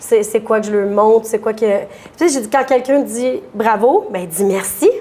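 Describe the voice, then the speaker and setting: A woman with a fairly high voice speaks at a fairly slow pace over noticeable background noise. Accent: Quebec. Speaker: dairy farmer. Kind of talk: interview. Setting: restaurant bar. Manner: loud; animated.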